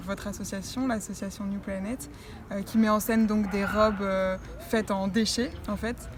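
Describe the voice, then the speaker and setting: Against noticeable background noise, a woman talks at a moderate pace and medium pitch in a flat, monotone way. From southern France, Nice. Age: 20s. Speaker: beauty pageant winner. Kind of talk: interview. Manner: hesitant, many fillers.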